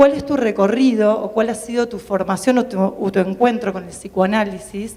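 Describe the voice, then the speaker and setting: This is a woman with a normal speaking voice. She keeps a moderate pace and fairly even intonation. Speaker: psychoanalyst, audience member asking a question. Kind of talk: audience question at public talk. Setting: public event with audience.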